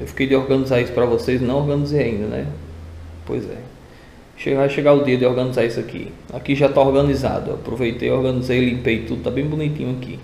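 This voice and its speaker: Fairly quick speech with fairly even intonation comes through audible room echo and light background noise. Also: man. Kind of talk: casual tutorial vlog chat. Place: garage. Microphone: phone near.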